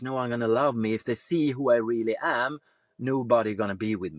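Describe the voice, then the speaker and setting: With a Swedish accent, a man speaks at a moderate pace and medium pitch. The sound is dry and close with no echo, on a very clean recording with a silent background. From Sweden. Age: 50s. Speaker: former police tactical leader, men's coach. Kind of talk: podcast interview. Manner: halting.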